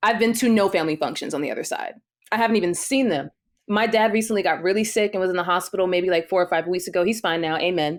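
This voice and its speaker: A woman with an American accent speaks at a very fast pace with ordinary pitch variation in a very clean recording with a silent background. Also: medium pitch for a woman. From New Jersey, Jersey City. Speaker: singer and performer. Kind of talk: interview testimony.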